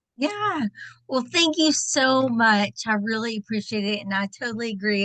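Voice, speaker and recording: A woman talks at a moderate pace with a Texan accent. Her pitch is fairly high. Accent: Texan twang. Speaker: direct sales director. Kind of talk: personal testimony.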